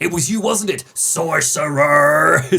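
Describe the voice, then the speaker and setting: Using a put-on character voice, the speaker delivers lines in a dramatic, raspy tone at middle pitch and a fairly slow pace. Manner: dramatic, accusatory, shouted ending.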